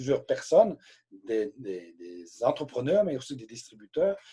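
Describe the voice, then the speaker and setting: There is a somewhat breathy quality to this man's voice as he talks at a moderate pace. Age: 60s. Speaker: direct sales trainer. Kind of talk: live training session. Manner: hesitant, repeats words.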